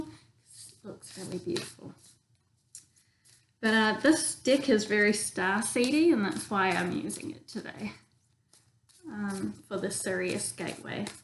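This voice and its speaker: With a New Zealand accent, a woman speaks somewhat breathily at a fairly slow pace and a medium pitch. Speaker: tarot reader. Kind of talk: casual tarot reading demonstration. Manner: casual, many filler ums.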